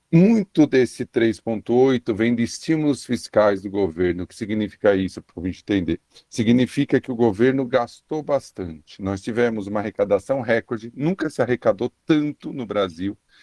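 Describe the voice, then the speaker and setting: In a Paulista accent, this dark, mellow voice moves with lively intonation and hardly any pauses, its sound dry and close with no echo. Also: man, medium pitch for a man, moderate pace, big swings in loudness. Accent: Paulista (São Paulo). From São Paulo state, Brazil. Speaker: economist. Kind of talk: radio interview. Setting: remote radio connection.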